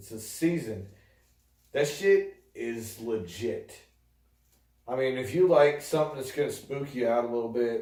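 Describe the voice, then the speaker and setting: A man's medium-pitched voice with an American accent, dark, mellow tone, ordinary pitch variation, big swings in loudness, moderate pace broken by long, frequent pauses, and audible room echo. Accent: New York accent, comes out more at times. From upstate New York. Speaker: video podcast co-host. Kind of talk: casual chat.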